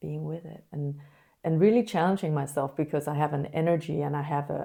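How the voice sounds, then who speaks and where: In a very clean recording with a silent background, a woman speaks at a moderate pace with a very deep, low pitch, a dark, mellow and calm tone, fairly even intonation and a somewhat breathy quality. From Denmark. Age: 50s. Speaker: life coach. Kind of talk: casual chat. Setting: studio.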